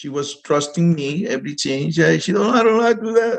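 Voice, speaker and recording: Speaking with a Spanish accent, a man talks at a moderate pace with lively intonation. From Dominican Republic. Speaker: real estate investor. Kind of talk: interview. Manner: halting.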